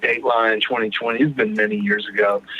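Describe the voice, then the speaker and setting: Recorded with a dry, close sound and no echo, a man talks with ordinary pitch variation against noticeable background noise. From Texas (Houston). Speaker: recovering addict sharing his story. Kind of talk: personal recovery testimony in podcast interview.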